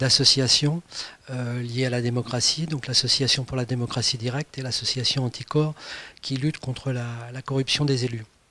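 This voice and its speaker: A man speaks at a moderate pace with a medium pitch. His tone is bright and sharp, his intonation monotone and flat. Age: 60s. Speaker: political candidate, retired civil servant. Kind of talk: interview self-presentation. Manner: halting, many hesitations.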